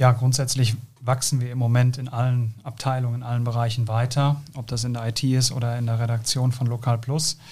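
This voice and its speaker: The voice is somewhat breathy and monotone, with flat intonation. It moves at a fairly quick pace. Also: man, medium pitch for a man. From South Westphalia, Germany. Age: 30s. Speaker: company co-founder. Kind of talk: interview. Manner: hesitant, many fillers.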